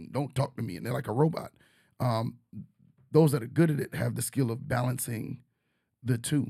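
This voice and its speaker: A man with an American accent speaks at a moderate pace in a medium pitch, his dark, mellow tone carrying vocal fry and fairly even intonation broken by long, frequent pauses. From New York. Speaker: teacher and podcast host. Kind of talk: casual chat.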